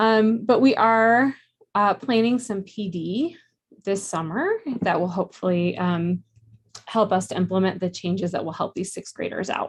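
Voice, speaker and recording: Somewhat breathy, a woman speaks at a medium pitch and a moderate pace. Her pitch variation is ordinary. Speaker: math teacher. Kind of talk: presentation at school board meeting.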